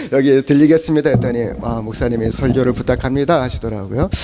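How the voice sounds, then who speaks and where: Over noticeable background noise, a man with a fairly high pitch speaks with ordinary pitch variation. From South Korea, Chungcheong (Cheongju). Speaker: pastor. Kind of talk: sermon. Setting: church service. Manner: halting, many fillers.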